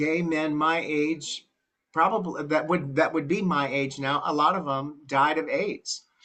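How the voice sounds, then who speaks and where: This man has an American accent and a fairly high pitch. His pitch variation is ordinary. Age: 60s. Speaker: church group participant. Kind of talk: group discussion testimony.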